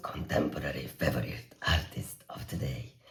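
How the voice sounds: Putting on a character voice, a man speaks raspy and very deep at a moderate pace.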